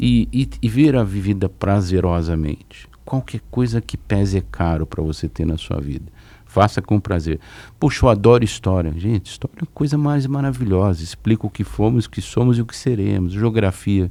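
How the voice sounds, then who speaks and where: The tone is dark and mellow, with lively intonation at a moderate pace. The recording is very clean, with a silent background. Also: man, fairly low pitch for a man. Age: 60s. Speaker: public finance official. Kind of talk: podcast interview.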